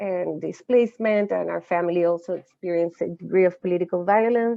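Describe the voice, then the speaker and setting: A woman speaks at a fairly quick pace with a Chilean accent. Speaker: social justice educator. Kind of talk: lecture. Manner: halting.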